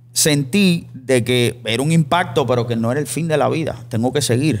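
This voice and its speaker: Here a man talks in an ordinary speaking voice whose pitch moves in a usual way. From Cuba. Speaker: podcast host. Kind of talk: casual interview chat. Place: studio. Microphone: studio mic.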